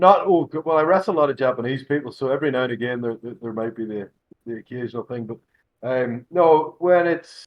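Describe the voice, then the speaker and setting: A man with a Scottish accent at a very fast pace, medium pitch, ordinary pitch variation and big swings in loudness. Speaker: professional wrestler. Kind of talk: casual chat.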